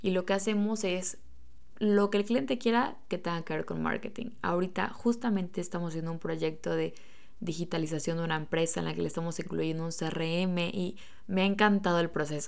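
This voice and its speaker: Speaking at a fairly quick pace, a woman with a fairly low pitch sounds animated, with audible room echo. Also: ordinary pitch variation. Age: 20s. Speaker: podcast host and small business owner. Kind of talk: casual solo monologue.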